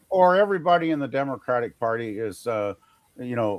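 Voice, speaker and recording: A man at medium pitch, fairly quick pace and lively intonation. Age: 60s. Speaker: live stream co-host. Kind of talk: casual chat. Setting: live stream. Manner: halting.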